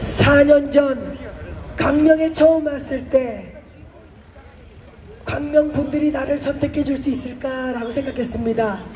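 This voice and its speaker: Over noticeable background noise and audible room echo, a woman with a high pitch speaks at a very slow pace in a monotone, flat way, with long, frequent pauses. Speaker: politician. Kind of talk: campaign speech. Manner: loud, rousing.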